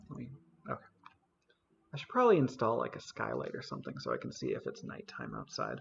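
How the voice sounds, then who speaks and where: The speech moves at a very fast pace. Long pauses break it up frequently. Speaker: gaming YouTuber. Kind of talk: let's play commentary.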